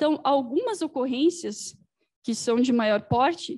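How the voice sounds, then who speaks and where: A woman speaks at a high pitch and a very slow pace with lively intonation, in a dry, close sound with no echo. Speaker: civil defense presenter. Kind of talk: lecture. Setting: event hall, hybrid with online audience.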